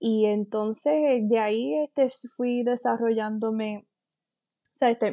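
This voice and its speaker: A woman speaks fairly slowly in a dark, mellow tone at a fairly high pitch, her intonation fairly even. The sound is dry and close, with no echo. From western Puerto Rico (San Sebastián, Moca). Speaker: coffee educator. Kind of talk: interview. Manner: halting, many fillers.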